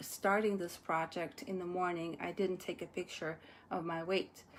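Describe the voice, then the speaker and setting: Speaking with a non-native accent, a woman holds a medium pitch and fairly even intonation. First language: not English. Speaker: energy psychotherapist vlogger. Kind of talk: casual vlog. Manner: halting with fillers.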